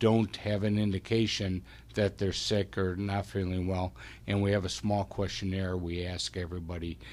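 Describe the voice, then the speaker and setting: A man with an ordinary speaking voice talks at a fairly slow pace in a fairly low pitch, his intonation fairly even, on a very clean recording with a silent background. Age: 60s. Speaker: medical practice administrator. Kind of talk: radio interview.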